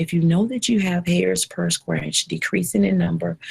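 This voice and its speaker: A woman is whispering quietly. The sound is dry and close, with no echo. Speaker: trichologist hosting a hair advice live show. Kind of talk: live online Q&A show. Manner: slow; quiet, whispery.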